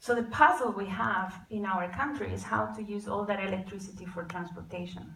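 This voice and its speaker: Vocal fry runs through speech at a moderate pace with ordinary pitch variation and audible room echo. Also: woman. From Costa Rica. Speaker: climate and e-mobility advocate. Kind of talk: conference talk.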